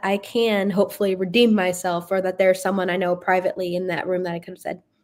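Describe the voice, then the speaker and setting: A woman in an American accent talks at a very fast pace, medium in pitch, with monotone, flat intonation. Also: hardly any pauses. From US, Florida. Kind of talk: live interview. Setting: live stream. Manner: talkative.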